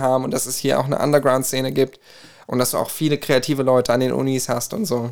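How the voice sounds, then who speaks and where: Very fast speech from a man with fairly even intonation. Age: 20s. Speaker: co-host, music student and singer. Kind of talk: casual chat.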